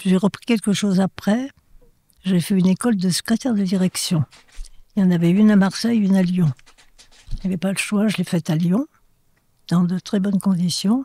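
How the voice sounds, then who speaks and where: A somewhat breathy woman with a dark, mellow tone talks at a fairly quick pace and medium pitch, with ordinary pitch variation, very even loudness and long, frequent pauses, in a dry, close sound with no echo. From France, Ardèche / Drôme (Valence). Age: 80s+. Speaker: interviewee, centenarian. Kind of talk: interview. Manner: halting.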